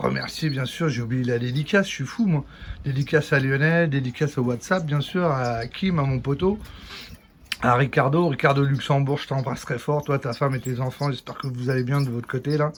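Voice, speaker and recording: A man speaks with a fairly high voice. His pitch moves in an ordinary way, at a moderate pace. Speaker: bird breeder vlogger. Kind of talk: casual video tour. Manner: loud; animated.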